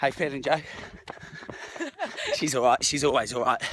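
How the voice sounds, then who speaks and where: A man with a fairly high voice speaks over noticeable background noise. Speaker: running coach and fitness vlogger. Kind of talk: vlog, motivational talk and chat with runners. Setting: outdoors at a running race. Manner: animated.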